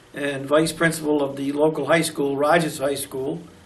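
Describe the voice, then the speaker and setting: Monotone and flat, the voice carries an American accent, with audible room echo and noticeable background noise. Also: man. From US Northeast, Newport, Rhode Island. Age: 80s+. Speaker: retired teacher and museum docent. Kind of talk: oral history interview. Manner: hesitant, many filler words.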